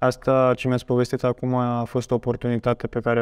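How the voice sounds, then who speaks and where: A man talks at a fairly quick pace. The background is quiet. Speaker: student podcast host. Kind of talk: interview. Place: studio. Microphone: lapel.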